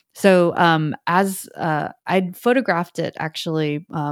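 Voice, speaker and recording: On a very clean recording with a silent background, a woman's fairly low voice shows ordinary pitch variation, and the sound is dry and close with no echo. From immigrant raised in the US, Bay Area. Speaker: artist and art professor. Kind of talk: interview. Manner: hesitant, many fillers.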